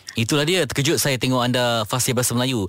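A man speaks at a medium pitch with ordinary variation in pitch. Noticeable background noise runs underneath. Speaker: radio host. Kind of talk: radio talk show; reflective monologue.

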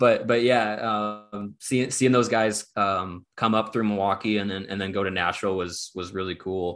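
A man with an American accent, fairly low pitch, moderate pace, fairly even intonation and hardly any pauses, on a very clean recording with a silent background. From US Midwest, Kenosha, Wisconsin. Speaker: sports writer. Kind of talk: casual chat. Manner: halting, many fillers and repeats.

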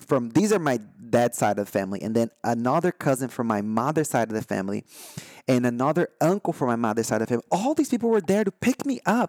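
A man's medium-pitched voice with a Brazilian accent and lively intonation, dry and close with no echo. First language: Brazilian Portuguese. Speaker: spiritual podcast host. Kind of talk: solo podcast talk. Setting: recorded live online. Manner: halting, many fillers and restarts.

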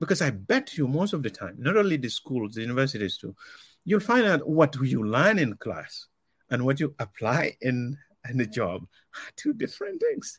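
Somewhat breathy, a man with fairly high pitch speaks at a moderate pace with very wide pitch swings. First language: not English. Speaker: cybersecurity professional. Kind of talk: interview. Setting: video call. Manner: halting.

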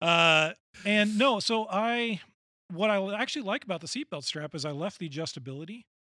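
Raised and projected, a man's voice carries an American accent at a fairly quick pace. The tone is bright and sharp, with lively intonation. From US Pacific Northwest, Washington State. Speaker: bass player and singer. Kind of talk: casual chat. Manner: halting.

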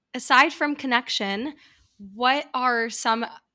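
A woman's bright, sharp voice in an American accent, with ordinary pitch variation, in a very clean recording with a silent background. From US, New York. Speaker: podcast host, former opera performer. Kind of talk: casual interview.

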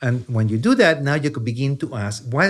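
A man with a strong Chilean accent is heard in a very clean recording with a silent background. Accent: heavy Chilean Spanish accent in English. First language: Spanish. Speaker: neuroscience professor. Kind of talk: long-form science interview.

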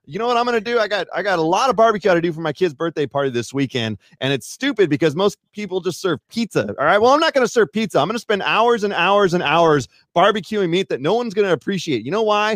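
Words come out at a very fast speed. The intonation rises and falls in a lively way. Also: man, high pitch for a man, dry, close sound with no echo. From Northern California. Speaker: mountain bike YouTuber. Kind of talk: casual chat. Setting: live stream.

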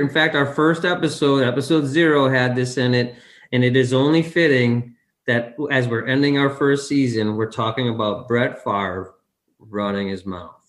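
An unremarkable speaking voice, male and fairly high-pitched, with a moderate pace and ordinary pitch variation. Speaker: podcast co-host. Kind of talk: casual chat.

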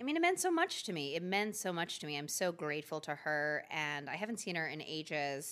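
Speaking in an unremarkable speaking voice with an American accent, a woman talks at a fairly quick pace with hardly any pauses, a fairly low pitch and ordinary pitch variation. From Philadelphia, US. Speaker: lifestyle brand founder and DIY crafter. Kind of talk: casual interview chat.

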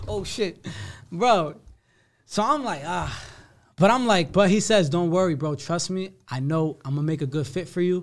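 The recording is very clean, with a silent background. A man with an American accent and a high pitch speaks at a moderate pace with lively intonation. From New Jersey, Somerset County. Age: 20s. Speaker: rapper. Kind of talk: casual interview.

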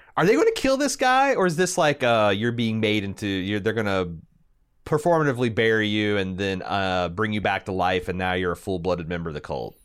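A man's fairly low-pitched, normal speaking voice with an American accent, at a fairly quick pace, on a very clean recording with a silent background. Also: lively intonation. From Indiana, US Midwest. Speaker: podcast co-host. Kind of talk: casual chat.

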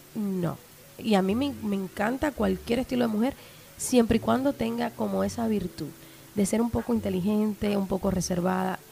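Speaking in a plain, everyday voice, a woman talks at a moderate pace and medium pitch with lively intonation. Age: 30s. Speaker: sex podcaster. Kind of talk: casual chat. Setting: studio with small audience.

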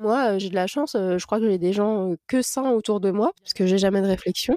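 A woman speaks at a moderate pace with medium pitch and ordinary pitch variation. Her tone is dark and mellow, and the sound is dry and close with no echo. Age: 30s. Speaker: digital communication freelancer and mother of five. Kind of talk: casual interview, personal testimony. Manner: hesitant, many fillers.

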